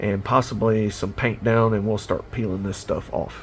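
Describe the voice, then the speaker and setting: A man with a Southern US accent, a medium pitch and a relaxed tone. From South Carolina. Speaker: miniature painting hobbyist. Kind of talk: casual hobby tutorial monologue. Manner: relaxed, many fillers.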